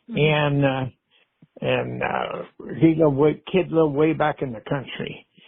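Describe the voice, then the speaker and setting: This is a plain, everyday voice. The man speaks at a fairly high pitch with fairly even intonation. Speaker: storyteller. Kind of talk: podcast storytelling. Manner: relaxed, folksy.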